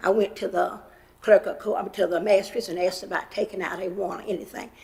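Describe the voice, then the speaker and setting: Noticeable background noise surrounds a woman of medium pitch speaking in a western North Carolina accent. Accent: Southern US (western North Carolina). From US South. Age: 80s+. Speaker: public commenter. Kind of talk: public comment testimony. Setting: county commission meeting.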